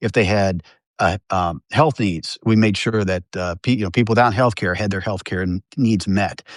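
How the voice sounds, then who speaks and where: A man speaks at a moderate pace with a fairly low pitch and ordinary pitch variation. The sound is dry and close with no echo, against a quiet background. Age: 60s. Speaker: newspaper journalist and union member. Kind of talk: interview. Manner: halting, many fillers and restarts.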